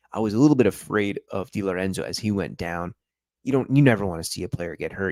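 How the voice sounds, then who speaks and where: A fairly quick pace on a very clean recording with a silent background, dry and close with no echo. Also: man. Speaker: football YouTuber. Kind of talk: live stream football review. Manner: casual, conversational.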